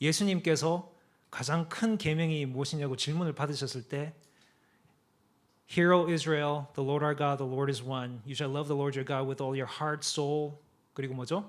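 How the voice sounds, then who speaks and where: Here is speech in a Gyeongsang accent, delivered at a fairly slow pace with fairly even intonation. The recording is very clean, with a silent background. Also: man, fairly high pitch for a man. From Korea, Daegu (Gyeongsang). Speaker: apologetics speaker, guest preacher. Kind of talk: sermon.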